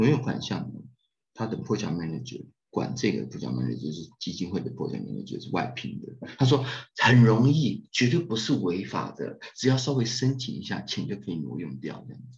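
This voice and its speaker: Vocal fry, very wide pitch swings and big swings in loudness mark this fairly quick delivery, which has audible room echo. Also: man, medium pitch for a man. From Taiwan. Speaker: humanitarian aid director and architecture professor. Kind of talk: casual interview chat. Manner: animated.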